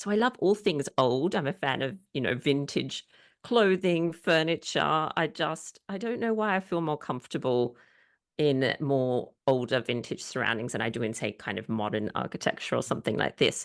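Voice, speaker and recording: Pitch swings very widely in this voice with an Australian accent. The pace is moderate and the background quiet. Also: woman, very deep, low pitch for a woman. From Australia, Sydney. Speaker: historian and author. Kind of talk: interview.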